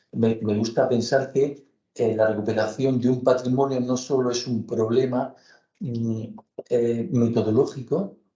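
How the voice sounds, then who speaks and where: A man speaks at a fairly slow pace with fairly even intonation. His tone is dark, mellow and somewhat breathy. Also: medium pitch for a man. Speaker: architecture professor. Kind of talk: academic lecture. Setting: lecture hall with audience. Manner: slow, deliberate; hesitant, many fillers.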